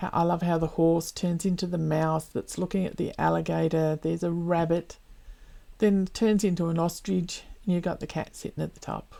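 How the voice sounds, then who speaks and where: A woman with an Australian accent speaks at a moderate pace in a fairly low pitch with a dark, mellow tone. Her intonation is monotone and flat, and the recording is very clean with a silent background. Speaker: cross stitch vlogger. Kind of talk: casual hobby update vlog.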